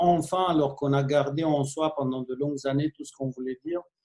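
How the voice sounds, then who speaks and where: This is an ordinary speaking voice from a man with a fairly high pitch. He talks at a fairly slow pace with fairly even intonation. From Romania. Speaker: film director. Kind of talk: interview. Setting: video call.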